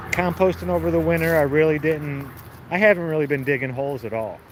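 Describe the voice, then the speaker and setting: A man with an American accent at a fairly high pitch and fairly quick pace, with long, frequent pauses and noticeable background noise. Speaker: home gardener livestreamer. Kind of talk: casual livestream chat. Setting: outdoors in garden. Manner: casual, conversational.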